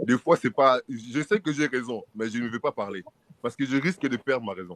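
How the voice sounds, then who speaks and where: This man has a medium pitch and lively intonation. He speaks at a moderate pace. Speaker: discussion panelist. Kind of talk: casual chat.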